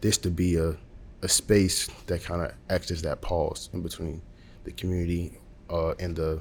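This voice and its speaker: This man's voice sits very deep and low. It carries a somewhat breathy quality. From Alabama, Montgomery. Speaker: architecture student. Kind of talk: interview. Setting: university school of architecture.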